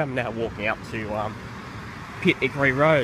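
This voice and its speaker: With an Australian accent, a man talks at a moderate pace with ordinary pitch variation, in a dry sound with no echo over noticeable background noise. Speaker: trainspotting video blogger. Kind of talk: casual vlog commentary. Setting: outdoors by railway tracks. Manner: halting, with fillers. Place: station. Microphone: phone near.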